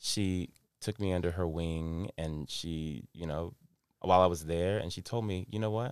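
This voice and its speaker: Captured in a very clean recording with a silent background, the voice has an American accent and ordinary pitch variation. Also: man, very deep, low pitch for a man, moderate pace. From US South, North Carolina (Denver, near Charlotte). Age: 30s. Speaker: podcast co-host. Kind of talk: casual chat.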